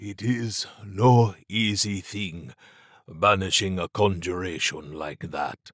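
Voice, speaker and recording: In a put-on character voice, a man speaks very slowly at a very deep, low pitch with ordinary pitch variation and big swings in loudness, in a dry, close, very clean recording with no echo and a silent background. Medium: read story. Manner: measured, formal.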